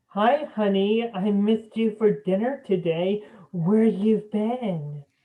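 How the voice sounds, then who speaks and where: A female-sounding put-on character voice at a medium pitch for a woman moves at a fairly slow pace. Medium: stage play. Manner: sarcastic, suspicious.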